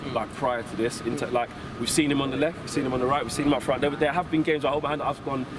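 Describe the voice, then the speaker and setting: A man's fairly high-pitched voice at a very fast pace, with noticeable background noise. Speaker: football fan pundit. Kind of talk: post-match fan interview. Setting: outside stadium after match. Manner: animated.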